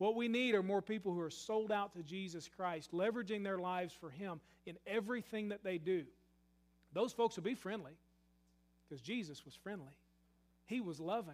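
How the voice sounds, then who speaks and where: Pausing often and at length, a man with a Kentucky accent and a high pitch shows ordinary pitch variation and big swings in loudness. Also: fairly quick pace. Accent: Southern US (Kentucky). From US South, western Kentucky. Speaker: pastor. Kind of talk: sermon. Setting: church.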